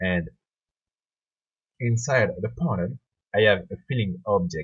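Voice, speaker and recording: Fairly slow speech carries lively intonation. There is a somewhat breathy quality to the voice. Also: man. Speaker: software tutorial creator. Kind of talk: tutorial. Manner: halting, with hesitations.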